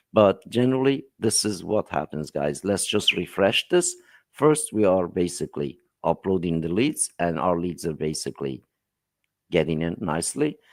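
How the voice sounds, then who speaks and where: Over a very clean recording with a silent background, a man with a very deep, low pitch speaks at a moderate pace with very wide pitch swings, the sound dry and close with no echo. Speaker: software platform host demonstrating email tool. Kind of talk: live stream tutorial.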